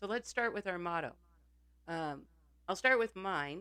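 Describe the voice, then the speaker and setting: Her fairly low pitch paired with lively intonation, a woman speaks. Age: 60s. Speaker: podcast co-host. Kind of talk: casual chat.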